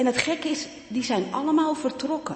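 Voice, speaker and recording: Noticeable background noise sits behind the voice. The delivery keeps a moderate pace. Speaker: pastor colleague. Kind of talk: farewell speech. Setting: church.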